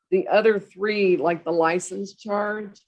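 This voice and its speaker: Her voice sits at a medium pitch, moving at a fairly slow pace with a monotone, flat intonation. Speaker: municipal judge. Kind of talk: court hearing. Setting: video call. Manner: loud; formal.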